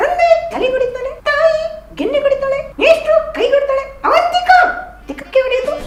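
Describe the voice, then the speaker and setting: A cartoonish character voice, female-sounding and extremely high in pitch, comes at a moderate pace over light background noise. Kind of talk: comic ventriloquist interview banter. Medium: puppet.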